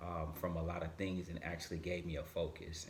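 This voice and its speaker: Audible room echo surrounds a man with a very deep, low pitch. His voice is somewhat breathy, and his intonation is monotone and flat. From Michigan, Grand Rapids. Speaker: motivational speaker. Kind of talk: podcast interview.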